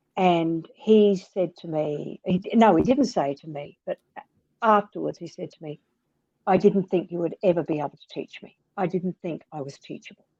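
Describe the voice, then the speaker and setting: With an Australian accent, a woman with a fairly low pitch and a dark, mellow tone talks at a moderate pace with ordinary pitch variation and big swings in loudness, in a dry, close sound with no echo. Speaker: author and reading educator. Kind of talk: interview conversation. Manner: animated.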